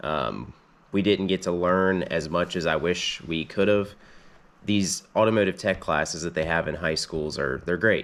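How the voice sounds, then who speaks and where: At a moderate pace, a man talks with vocal fry, a very deep, low pitch and ordinary pitch variation. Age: 20s. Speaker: mechanic, channel owner. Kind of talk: casual vlog storytelling. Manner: casual with many fillers (um, uh).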